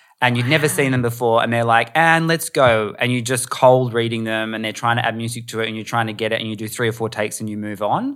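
On a very clean recording with a silent background, a man at medium pitch rattles along at a very fast pace with hardly any pauses and fairly even intonation. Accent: Australian. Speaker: producer and voiceover artist. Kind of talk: casual chat.

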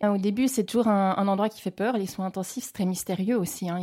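A woman with a medium pitch speaks at a fairly quick pace, her somewhat breathy voice dark and mellow in tone with fairly even intonation, on a very clean recording with a silent background. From French-speaking Switzerland, Geneva area. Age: 40s. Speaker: intensive care nurse. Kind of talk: interview testimony.

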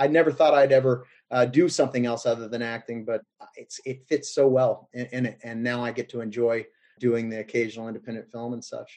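A man speaks with an American accent at a medium pitch, using an ordinary speaking voice. His intonation stays fairly even and his pace is fairly quick. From US South. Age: 40s. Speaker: actor. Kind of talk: casual chat.

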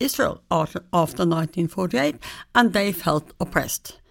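In a very clean recording with a silent background, a woman with a Norwegian accent speaks at a medium pitch with lively intonation. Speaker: history professor. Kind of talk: interview. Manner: halting.

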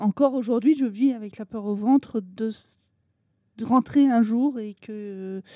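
In a dry, close sound with no echo, a woman with a dark, mellow tone speaks at a fairly slow pace with ordinary pitch variation. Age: 40s. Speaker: association vice-president, mother. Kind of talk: testimony. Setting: hotel room.

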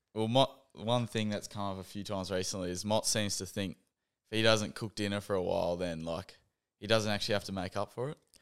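Over a very clean recording with a silent background, a man with an Australian accent talks fairly quickly at fairly low pitch with fairly even intonation. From Western Australia, Geraldton. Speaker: professional Australian football player. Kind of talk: casual interview.

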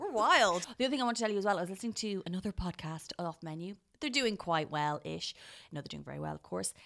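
A woman with an Irish accent speaks at a very fast pace in an animated tone with a medium pitch. Her intonation is lively, with big swings in loudness. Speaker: podcast co-host, food reviewer. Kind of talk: casual chat.

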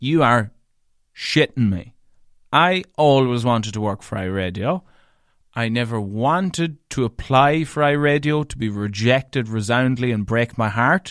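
In a very clean recording with a silent background, a man with a strong northwestern Irish accent talks at a fairly slow pace, his medium pitch carrying lively intonation. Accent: thick rural Irish (northwest). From Ireland, County Leitrim. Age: 30s. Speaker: radio broadcaster and DJ. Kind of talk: solo podcast monologue. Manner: animated, chatty storyteller.

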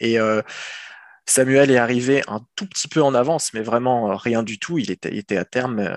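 A man with a medium pitch speaks with fairly even intonation in a dry, close sound with no echo. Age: 30s. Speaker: father sharing experience of partner's depression. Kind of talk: testimony. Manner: halting.

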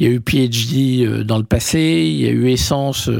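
A man speaks at a medium pitch. His voice moves in very wide pitch swings. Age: 50s. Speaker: media entrepreneur. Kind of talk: interview. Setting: office.

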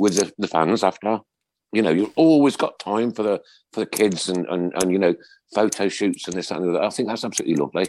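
In a very clean recording with a silent background, a man with a Birmingham accent talks fairly quickly in a fairly low voice with lively intonation. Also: dry, close sound with no echo. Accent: Birmingham (Brummie). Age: 60s. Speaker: podcast host. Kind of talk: casual chat.

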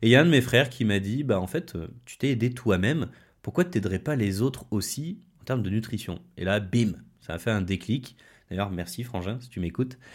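The recording is very clean with a silent background. A man with a plain, everyday voice talks fairly quickly at a medium pitch, with big swings in loudness. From France, Haute-Loire. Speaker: nutrition and wellness coach. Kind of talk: podcast monologue. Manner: casual, with frequent fillers.

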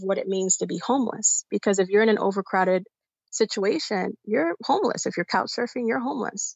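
A woman with an American accent speaks in a plain, everyday voice. Her pitch is medium, with ordinary variation, and her pace is fairly quick. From New York City, South Bronx. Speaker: community organizer and congressional candidate. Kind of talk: interview.

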